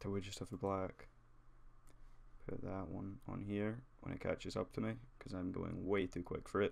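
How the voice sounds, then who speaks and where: This man has a fairly low pitch and ordinary pitch variation. He keeps a moderate pace, broken by long, frequent pauses. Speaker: 3D graphics tutorial creator. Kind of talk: tutorial. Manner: casual, hesitant with fillers.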